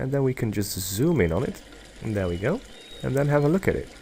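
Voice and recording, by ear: A man's dark, mellow voice at medium pitch, with big pitch swings and a fairly quick pace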